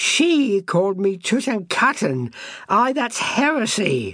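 A shrill, female-sounding put-on character voice, fairly high in pitch, moves at a fairly slow pace. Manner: screeching, enraged.

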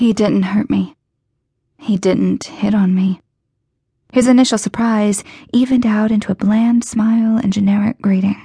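A woman's fairly high, somewhat breathy voice with a dark, mellow tone, very even loudness, fairly even intonation, a moderate pace and long, frequent pauses. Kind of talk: audiobook narration.

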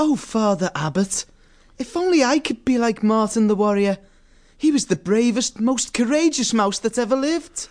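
A squeaky, female-sounding put-on character voice speaks at a fairly high pitch and a moderate pace. The background is quiet. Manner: flustered, stammering, then wistful and admiring.

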